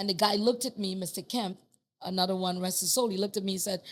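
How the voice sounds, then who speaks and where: At a very fast pace, a woman with a strong Trinidadian accent talks at medium pitch with ordinary pitch variation. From Trinidad and Tobago. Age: 50s. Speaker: master plumber. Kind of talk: casual chat. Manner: animated.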